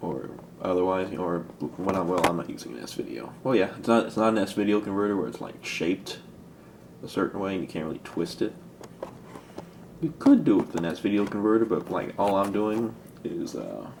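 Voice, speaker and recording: Soft-spoken and fairly low in pitch, a man talks at a fairly quick pace broken by long, frequent pauses. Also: ordinary pitch variation. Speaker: hobbyist video maker. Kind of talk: casual tutorial. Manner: soft-spoken, talking lowly; halting, rambling with fillers.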